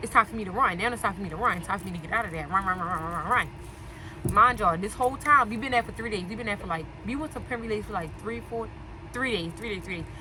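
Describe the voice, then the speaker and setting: Very fast and animated, a woman speaks at a fairly high pitch with lively intonation. Noticeable background noise can be heard behind her. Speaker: storytelling vlogger. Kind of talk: casual storytime.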